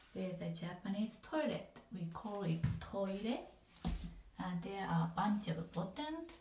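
In a non-native accent, a woman speaks at a very slow pace with lively intonation, a medium pitch and a somewhat breathy sound, with audible room echo around her. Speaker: apartment resident giving a home tour. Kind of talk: casual home tour narration. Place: bathroom. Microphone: phone near.

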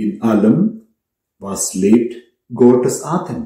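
A man speaks at a very slow pace with audible room echo. The background is otherwise quiet. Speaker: priest. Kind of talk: sermon, earnest and measured homily to a congregation. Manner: earnest; rhetorical, direct address with pauses. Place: home room.

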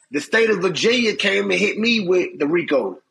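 A man's raised, projected voice, high in pitch, with ordinary pitch variation. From Chicago. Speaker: former federal prisoner; interview guest. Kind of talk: casual interview storytelling. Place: home room. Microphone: phone near.

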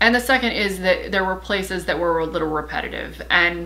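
A woman is speaking. Her pace is moderate. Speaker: book reviewer. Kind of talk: casual review talk.

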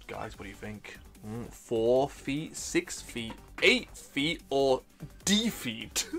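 A put-on character voice sounds robotic, pitched low-to-middle and delivered at a very slow pace, with clear music in the background. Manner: game show host tone.

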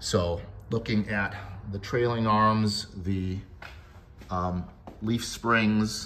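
Very slow, somewhat breathy man with lively intonation over light background noise. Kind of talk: narrated walkaround commentary. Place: garage. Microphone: phone near.

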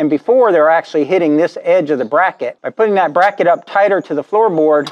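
Over a quiet background, a man talks at a very fast pace in a high pitch. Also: ordinary pitch variation. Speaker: welding shop owner demonstrating install. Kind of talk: tutorial. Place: garage. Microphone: phone near.

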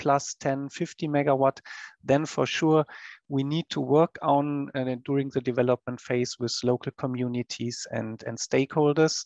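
A man with medium pitch and a slightly mellow tone talks at a fairly slow pace with fairly even intonation and vocal fry. The sound is dry and close with no echo.

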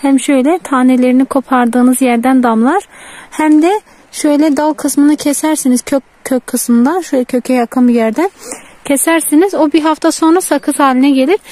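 A woman with a high voice talks at a moderate pace with ordinary pitch variation. The sound is dry, with no echo. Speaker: village vlogger. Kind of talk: outdoor vlog narration. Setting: outdoors. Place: open country. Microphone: phone near.

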